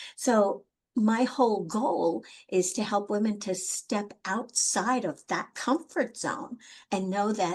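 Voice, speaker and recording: With a fairly high pitch, a woman speaks in a voice that is somewhat breathy. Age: 60s. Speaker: life coach. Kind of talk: panel interview.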